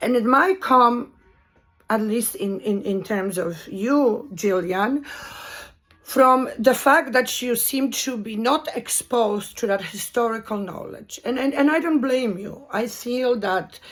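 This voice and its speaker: A woman with a Polish accent, high-pitched, at a very slow pace. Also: lively intonation. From Poland. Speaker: video commentator. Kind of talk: monologue commentary. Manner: halting.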